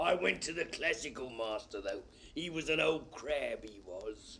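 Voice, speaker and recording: A man performs a put-on character voice, raspy and fairly high-pitched, with very wide pitch swings. He keeps a moderate pace over light background noise. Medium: audio drama. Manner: brusque, bossy.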